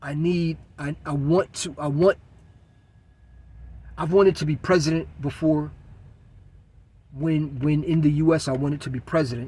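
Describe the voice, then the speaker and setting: This man's voice is somewhat breathy and fairly high in pitch, with fairly even intonation. He talks at a moderate pace, leaving long, frequent pauses. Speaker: vlogger. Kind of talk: unscripted monologue. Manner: halting, with pauses and stutters.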